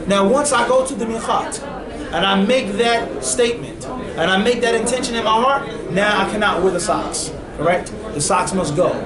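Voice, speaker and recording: A man with a high pitch and lively intonation speaks at a moderate pace with very even loudness, amid audible room echo and noticeable background noise. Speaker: Islamic scholar teaching a class. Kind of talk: lecture. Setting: classroom with microphone.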